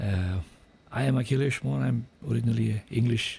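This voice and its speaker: The man's voice has a dark, mellow tone and sounds somewhat breathy. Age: 60s. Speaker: snooker commentator, former billiards player. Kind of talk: live sports commentary.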